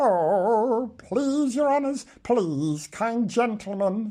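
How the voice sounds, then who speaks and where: In a put-on character voice at fairly high pitch, the speaker goes at a very slow pace. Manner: whimpering, pleading.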